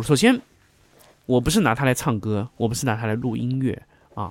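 In a very clean recording with a silent background, a man at a medium pitch speaks at a fairly quick pace. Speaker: podcast host discussing recording gear. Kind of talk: casual monologue tutorial. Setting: home studio, condenser mic with pop filter. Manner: halting, many fillers and repeated words.

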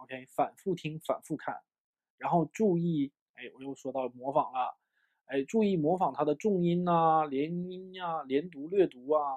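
Ordinary pitch variation marks this man's fairly high voice. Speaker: English teacher. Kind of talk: lecture. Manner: animated.

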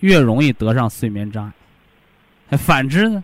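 A man speaks in an animated tone with very wide pitch swings. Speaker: health lecturer. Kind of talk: radio health talk. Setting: studio.

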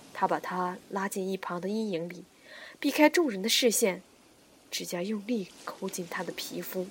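A woman talks at a moderate pace in a somewhat breathy voice. Her pitch is medium, with ordinary pitch variation. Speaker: audiobook narrator. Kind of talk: reading aloud. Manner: animated.

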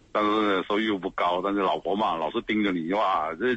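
A man at a very fast pace, fairly low in pitch, with ordinary pitch variation. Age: 40s. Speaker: radio caller. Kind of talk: call-in conversation about marriage problems.

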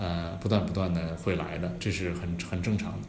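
Audible room echo surrounds a man's voice. He speaks at a fairly quick pace with fairly even intonation. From Hunan, China. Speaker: startup founder and CEO. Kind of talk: podcast interview.

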